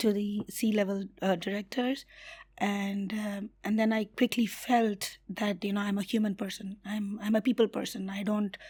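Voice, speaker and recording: A woman talks at a moderate pace in a monotone, flat intonation, her voice somewhat breathy. The recording is very clean, with a silent background. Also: medium pitch for a woman. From India. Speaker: community builder and HR professional. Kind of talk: interview.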